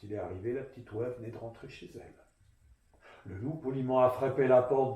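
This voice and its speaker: Somewhat breathy, a man talks with a dark, mellow tone. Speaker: storyteller. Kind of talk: children's storytelling, tale told to an audience. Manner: lively, expressive, playful.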